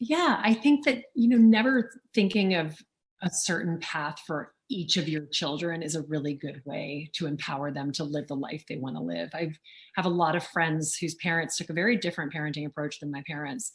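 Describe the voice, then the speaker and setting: Breathing a little through her words, a woman with a fairly low pitch and an American accent speaks with lively intonation at a moderate pace. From US South, Louisiana. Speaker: auctioneer and author. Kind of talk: interview. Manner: fluent.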